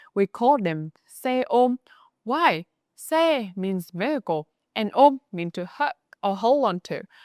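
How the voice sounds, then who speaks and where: A woman with a Northern Vietnamese accent swings very widely in pitch, in a very clean recording with a silent background and a dry, close sound with no echo. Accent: Northern Vietnamese (Hanoi) accent in English. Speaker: Vietnamese language teacher. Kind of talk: language lesson narration.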